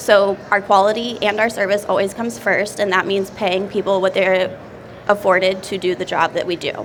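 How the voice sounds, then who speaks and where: Over noticeable background noise, a woman with an American accent speaks at a moderate pace in monotone, flat intonation. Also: medium pitch for a woman. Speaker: restaurant owner. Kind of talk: seminar talk.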